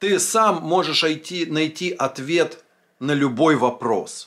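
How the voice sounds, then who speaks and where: At a very slow pace over a quiet background, a man with a fairly high pitch speaks with lively intonation. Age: 40s. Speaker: vlogger, former drinker; vlogger. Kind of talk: monologue answering a viewer comment. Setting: filming at home. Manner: casual, conversational. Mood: reflective, earnest, some swearing. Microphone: phone near.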